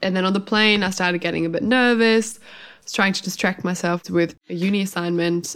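A woman speaks with a German accent at a fairly low pitch. Her intonation is fairly even and her pace fairly quick. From Germany. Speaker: podcast co-host, hypnotherapist. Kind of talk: casual chat.

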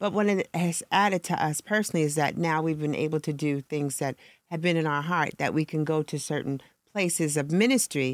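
A woman with a very deep, low pitch speaks at a fairly quick pace with ordinary pitch variation. The recording is very clean with a silent background and a dry, close sound with no echo. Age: 60s. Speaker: ministry leader. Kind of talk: casual chat.

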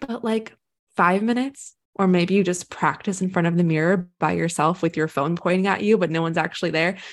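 Against a quiet background, a woman talks at a fairly quick pace with a fairly low pitch and ordinary pitch variation. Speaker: poet and mental health writer. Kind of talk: casual interview chat.

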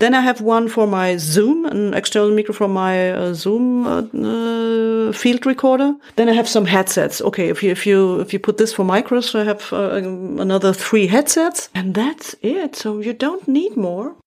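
A woman's fairly high voice moves at a moderate tempo, its pitch varying in an ordinary way. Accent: German. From Germany, Munich. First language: German. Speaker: radio journalist and podcast producer. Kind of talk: interview conversation. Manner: halting.

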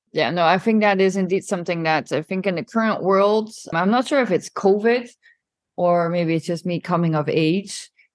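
Against a quiet background, a woman in an unremarkable speaking voice talks at a moderate pace and medium pitch with ordinary pitch variation. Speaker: podcast host. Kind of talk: interview. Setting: podcasting from Milan.

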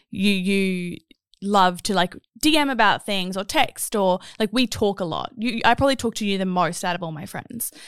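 A woman with an Australian accent speaks at a moderate pace and a medium pitch. The recording is very clean and dry, close with no echo, against a silent background. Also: ordinary pitch variation. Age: 30s. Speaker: podcast host. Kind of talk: casual chat.

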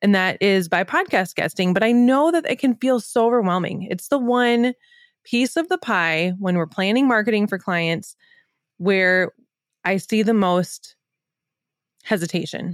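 An enthusiastic woman's medium-pitched voice, fairly slow and lively in intonation, with very even loudness, dry and close with no echo, on a very clean recording with a silent background. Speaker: podcast host and business coach. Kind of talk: podcast intro and promo.

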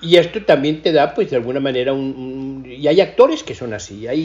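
A man is speaking at a fairly quick pace. His voice is somewhat breathy. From Mexico. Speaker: cinematographer. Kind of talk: interview.

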